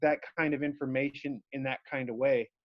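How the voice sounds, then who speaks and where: A man at a moderate pace. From US South, New Orleans. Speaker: author. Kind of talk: casual interview. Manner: hesitant, many fillers.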